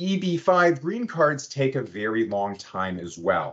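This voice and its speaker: A man's lively intonation over a quiet background. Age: young. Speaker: immigration lawyer. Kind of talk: webinar presentation. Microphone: video call.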